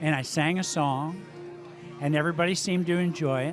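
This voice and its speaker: Over music in the background, a man with a fairly high pitch talks with ordinary pitch variation. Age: 60s. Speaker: amateur musician. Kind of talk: interview. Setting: live music venue.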